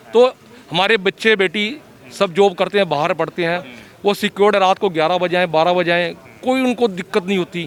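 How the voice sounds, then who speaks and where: Recorded dry and close with no echo, a man with a high pitch speaks at a moderate pace. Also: ordinary pitch variation. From western Uttar Pradesh, Saharanpur. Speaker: voter. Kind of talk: street interview.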